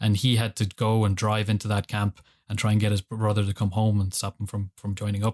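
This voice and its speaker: A man talks at a very fast pace in an Irish accent, his pitch fairly low and his intonation monotone and flat. The recording is very clean with a silent background, and the sound is dry and close with no echo. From Ireland. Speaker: political science graduate. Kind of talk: casual chat.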